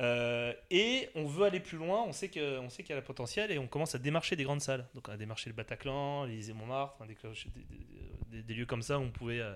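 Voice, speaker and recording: A normal speaking voice with lively intonation moves at a fairly quick pace in a very clean recording with a silent background. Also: man. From Alsace, France. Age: 40s. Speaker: party organizer and entrepreneur. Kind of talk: casual interview.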